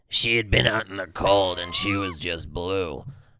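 In a put-on character voice, a man speaks at a moderate pace, raspy and very deep, low in pitch.

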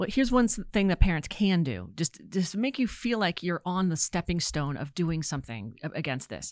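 With an American accent, a woman speaks at a moderate pace with hardly any pauses, her fairly low pitch swinging very widely and showing vocal fry. The sound is dry and close with no echo, on a very clean recording with a silent background. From Virginia. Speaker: financial crime trainer, former intelligence officer. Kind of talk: interview.

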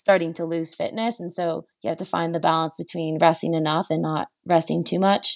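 Recorded very cleanly with a silent background and a dry, close sound with no echo, a woman with a Canadian accent and a normal speaking voice talks at a fairly low pitch, a moderate pace and a fairly even intonation. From Quebec, Canada (Chelsea). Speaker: Olympic cross-country skier. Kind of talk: interview.

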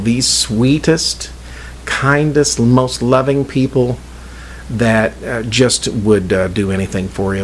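Through noticeable background noise, a man speaks at a very slow pace with ordinary pitch variation. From southern Indiana. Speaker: podcast host. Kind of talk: casual chat. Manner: animated.

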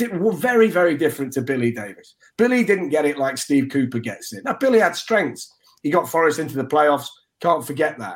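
A man's fairly high voice in an East Midlands accent, at a fairly quick pace, with very wide pitch swings. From Nottingham, England. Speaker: sports broadcaster. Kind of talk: casual chat.

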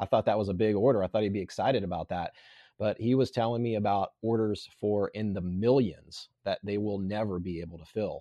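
An ordinary speaking voice belongs to a fairly low-pitched man. His intonation is fairly even and his pace fairly quick. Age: 40s. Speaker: survival instructor. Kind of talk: casual chat.

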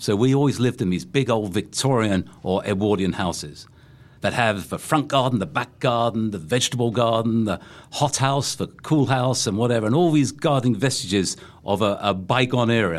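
This man has a London accent. He talks at a fairly quick pace. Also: medium pitch for a man, ordinary pitch variation, very clean recording, silent background. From England, London. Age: 60s. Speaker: gardening expert and former teacher. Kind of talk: casual chat. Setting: studio.

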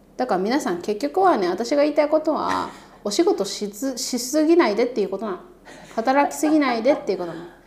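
A woman with a high pitch talks at a fairly quick pace, her pitch swinging very widely. Noticeable background noise is present. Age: 30s. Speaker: podcast co-host and YouTuber. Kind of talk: casual chat. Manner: animated.

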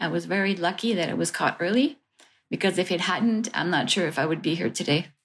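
With a Quebec accent, a woman speaks at a fairly low pitch with ordinary pitch variation. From Montreal, Quebec. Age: 50s. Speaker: cancer patient and plaintiff. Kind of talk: interview testimony. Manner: hesitant, with fillers.

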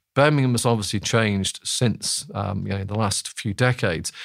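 The recording is very clean with a silent background. A man speaks at a medium pitch and a fairly quick pace, with ordinary pitch variation. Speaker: political economist. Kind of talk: interview answers. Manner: hesitant, many filler words.

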